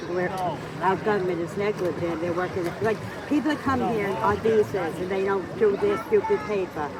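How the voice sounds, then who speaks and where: With a New York accent, a woman of medium pitch speaks at a moderate pace with lively intonation against noticeable background noise. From Long Island, New York. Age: 60s. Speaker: local resident, political rant. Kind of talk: casual chat. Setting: outdoors. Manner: animated.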